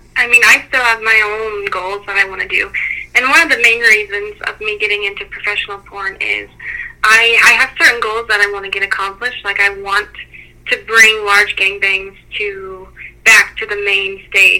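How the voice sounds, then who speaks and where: There is noticeable background noise behind a woman whose intonation is fairly even. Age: 20s. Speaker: adult performer. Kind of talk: casual interview.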